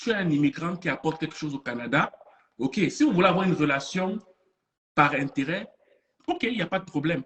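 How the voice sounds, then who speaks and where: A man's high-pitched voice at a moderate pace. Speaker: motivational speaker. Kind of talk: online conference talk. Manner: animated.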